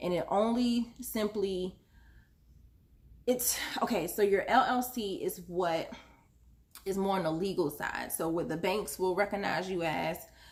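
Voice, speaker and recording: At a moderate pace, an unremarkable speaking voice carries ordinary pitch variation. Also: woman. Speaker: small business owner giving how-to advice. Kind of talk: casual tutorial vlog. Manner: rambling, many fillers (um, uh).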